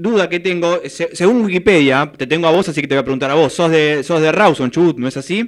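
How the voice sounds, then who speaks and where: Pitched high for a man, his voice moves at a fairly quick pace with ordinary pitch variation. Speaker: sports radio host. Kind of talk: radio interview.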